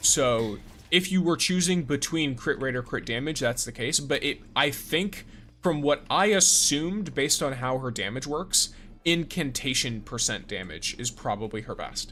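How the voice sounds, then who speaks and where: Bright, sharp tone from a man with a fairly high pitch and lively intonation. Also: moderate pace. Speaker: gaming streamer. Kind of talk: live stream chat with commentary. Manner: jumps mid-sentence.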